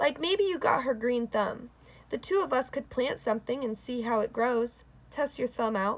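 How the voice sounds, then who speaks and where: Putting on a character voice with a Southern US accent, a woman speaks at a high pitch and moderate pace, raspy with a warm tone and lively intonation. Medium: read story. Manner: warm, unhurried, folksy.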